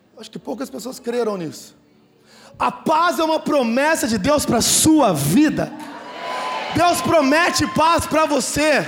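A man shouts at an extremely high pitch in an animated tone with lively intonation, at a fairly slow pace. Noticeable background noise and audible room echo fill the recording. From São Paulo state interior, Brazil. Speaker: pastor. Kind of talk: sermon.

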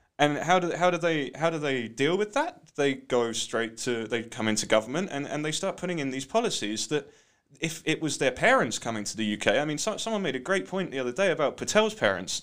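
A man speaks with a British accent at a fairly quick pace, his fairly high voice making very wide pitch swings. The recording is very clean, with a silent background. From UK. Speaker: art gallery co-founder. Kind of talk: interview. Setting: studio.

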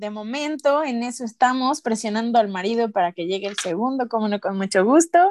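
A woman with a Mexican accent speaks at a fairly quick pace with hardly any pauses, lively intonation and a fairly high pitch, in a dry, close sound with no echo. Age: 30s. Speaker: podcast host. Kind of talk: casual chat.

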